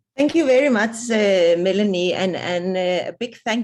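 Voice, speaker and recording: Here a woman speaks at a fairly slow pace with a non-native accent. Her pitch is medium, with ordinary pitch variation. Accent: non-South African foreign. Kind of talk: webinar presentation. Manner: halting, repetitive.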